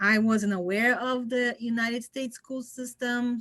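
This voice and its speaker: A woman speaks with a Portuguese accent. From Brazil. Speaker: engineer, guest speaker. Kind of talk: interview, personal story. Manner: halting.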